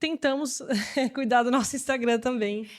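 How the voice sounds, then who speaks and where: A woman with a high voice speaks at a moderate pace on a very clean recording with a silent background. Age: 30s. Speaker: mother and marketing worker. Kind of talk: casual interview.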